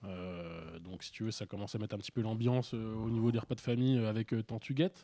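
A very fast pace with a dark, mellow tone and ordinary pitch variation. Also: man, medium pitch for a man. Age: 30s. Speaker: political activist. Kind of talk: casual chat.

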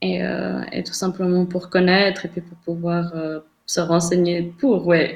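A woman's ordinary speaking voice at medium pitch and a fairly slow pace. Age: 30s. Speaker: interview guest sharing personal sex life. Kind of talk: casual interview.

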